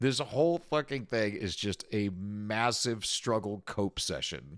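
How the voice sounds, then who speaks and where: A man with a fairly low voice speaks at a fairly slow pace, his tone animated and his intonation lively. The recording is very clean, the background silent. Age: 40s. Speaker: live stream host. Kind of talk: reaction commentary.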